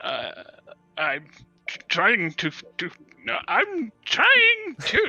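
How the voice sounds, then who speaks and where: A man's put-on character voice at a very slow pace, with faint music in the background. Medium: actual play. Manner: stammering, hesitant.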